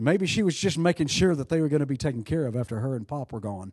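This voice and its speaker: A man speaks in an animated tone with very wide pitch swings. The sound is dry and close with no echo, over a quiet background. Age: 60s. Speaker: pastor. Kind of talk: sermon. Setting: church.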